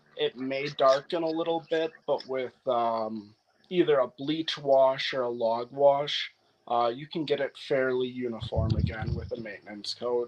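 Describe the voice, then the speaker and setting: A man's ordinary speaking voice at medium pitch, with ordinary pitch variation and a fairly slow pace. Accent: American. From US Upper Midwest, north-central Wisconsin. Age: 30s. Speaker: wood restoration contractor. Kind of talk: casual interview.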